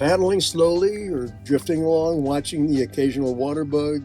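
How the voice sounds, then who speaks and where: A man talks moderately fast in a fairly high pitch, his voice showing ordinary pitch variation as music plays in the background. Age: 80s+. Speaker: senior camping vlogger. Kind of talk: travel vlog narration.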